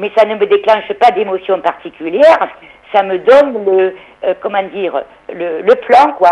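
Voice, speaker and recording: Noticeable background noise runs under a woman talking at a fairly slow pace. Her intonation is lively. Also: medium pitch for a woman. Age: 60s. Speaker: caller. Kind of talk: phone-in call.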